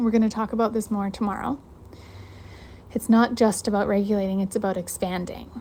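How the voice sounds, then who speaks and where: A woman speaks at a fairly quick pace with a somewhat breathy sound. Her speech is broken by long, frequent pauses. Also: medium pitch for a woman. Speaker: podcast host and coach. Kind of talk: live online challenge teaching. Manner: fast; animated.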